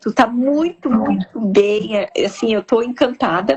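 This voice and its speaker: A fairly slow pace in a strong gaúcho accent. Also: woman. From southern Brazil (Rio Grande do Sul). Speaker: live stream host. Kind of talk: casual interview chat. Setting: live stream.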